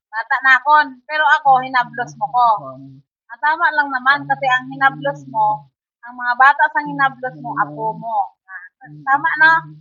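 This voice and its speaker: Music plays behind a woman with a high pitch who speaks at a moderate pace. Her pitch swings very widely, and her loudness shifts in big swings. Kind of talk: casual talk to camera. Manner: coaxing, patient questioning.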